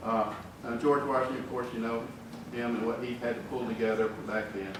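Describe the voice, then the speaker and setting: A man in a strong Southern US accent, fairly quick and monotone, with flat intonation, noticeable background noise and audible room echo. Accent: deep Southern US. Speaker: engineering executive giving a talk. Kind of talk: conference speech. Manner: folksy, conversational.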